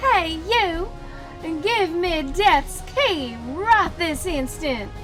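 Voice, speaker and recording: A put-on character voice with an extremely high pitch speaks at a very slow pace. Clear music plays in the background. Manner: demanding, commanding.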